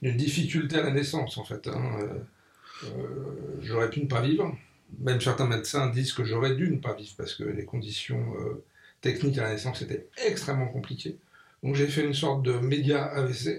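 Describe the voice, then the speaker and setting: This man has a medium pitch and audible vocal fry. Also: ordinary pitch variation, moderate pace. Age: 60s. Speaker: magazine publisher and NGO founder. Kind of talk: radio interview. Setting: radio studio.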